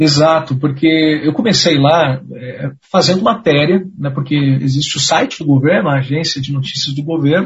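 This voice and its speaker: A man talks in a normal speaking voice at a fairly high pitch. His pace is fairly quick. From Pinhais, Paraná, Brazil. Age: 20s. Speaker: radio journalist. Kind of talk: casual chat.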